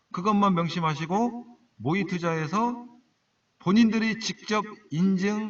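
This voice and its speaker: Speaking in a Jeolla accent, a man with a high pitch and ordinary pitch variation talks at a very slow pace with long, frequent pauses. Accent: Jeolla dialect, can't drop it. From Jeolla, South Korea. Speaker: stock trading broadcaster. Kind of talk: live-stream talk to viewers. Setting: solo live internet broadcast. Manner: casual, conversational.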